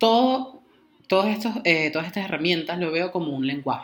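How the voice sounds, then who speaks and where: A man's high-pitched voice with lively intonation. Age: 20s. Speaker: podcast co-host, tarot and astrology practitioner. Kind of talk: casual chat. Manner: halting, repeats words.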